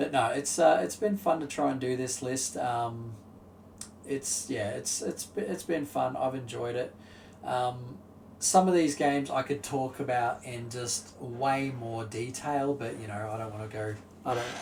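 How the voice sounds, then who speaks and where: This man talks fairly slowly in a somewhat breathy voice. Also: medium pitch for a man, ordinary pitch variation. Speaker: video game youtuber. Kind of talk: solo commentary ranking video games. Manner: halting, many fillers.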